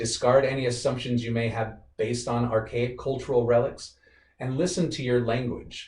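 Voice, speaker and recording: With fairly even intonation, this man's voice comes across as somewhat breathy. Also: medium pitch for a man. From rural Wyoming, US. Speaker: guest speaker at workplace diversity event. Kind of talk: presentation with Q&A. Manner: fast.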